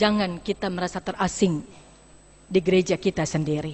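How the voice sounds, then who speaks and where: Here a woman speaks at a moderate pace with ordinary pitch variation. Her voice is somewhat breathy. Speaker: pastor. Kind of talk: sermon. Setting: church.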